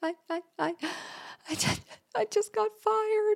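A woman uses a put-on character voice, extremely high and croaky, with very wide pitch swings. She goes at a fairly slow pace, and the sound is dry and close with no echo.

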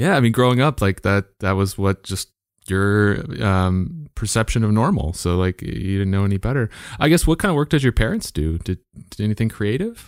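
An unremarkable speaking voice with lively intonation at a moderate pace, dry and close with no echo. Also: man, fairly low pitch for a man, very clean recording, silent background. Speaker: podcast host. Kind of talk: casual interview conversation.

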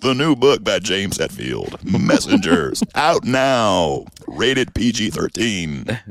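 Using a put-on character voice at medium pitch, a man talks at a very slow pace with hardly any pauses. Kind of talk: formal announcement.

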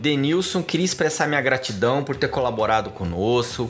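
A man with a fairly high pitch speaks at a moderate pace with vocal fry. His intonation is lively. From Goiânia, Brazil. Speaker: podcast host. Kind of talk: casual interview.

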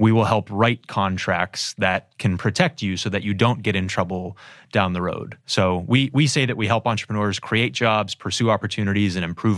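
A man's fairly low-pitched, unremarkable speaking voice with an American accent, ordinary pitch variation and a fairly quick pace on a very clean recording with a silent background. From Erie, Pennsylvania. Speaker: business lawyer, law firm founder. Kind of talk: interview.

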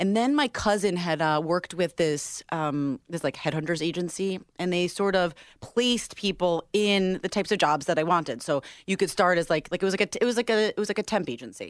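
With an American accent and a plain, everyday voice, a woman speaks at a fairly quick pace with lively intonation and fairly low pitch, in a very clean recording with a silent background and a dry, close sound with no echo. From upstate New York. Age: 30s. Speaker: radio DJ. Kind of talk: casual chat.

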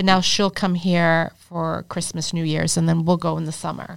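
A woman with an American accent speaks in a normal speaking voice at a fairly low pitch, with fairly even intonation. The recording is very clean, with a silent background. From Arlington, Massachusetts. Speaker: real estate developer. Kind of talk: casual interview. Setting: studio.

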